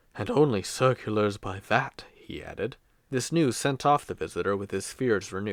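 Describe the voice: The voice is plain reading aloud. Nothing more marks the delivery.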